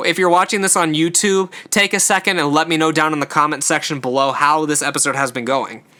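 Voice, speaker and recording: A man with a fairly high, bright, sharp voice talks at a fairly quick pace with hardly any pauses. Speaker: podcast host. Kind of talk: solo podcast review monologue. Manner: stumbles over words often; casual, filler-heavy.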